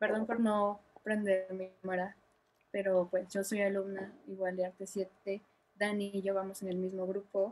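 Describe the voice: A woman speaks at medium pitch in a slightly mellow tone. Her pace is fairly slow and her intonation monotone and flat.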